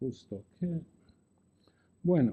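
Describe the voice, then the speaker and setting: A very slow male voice with a dark, mellow tone. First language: not Spanish (speaking Spanish). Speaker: law professor. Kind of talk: lecture. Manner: halting.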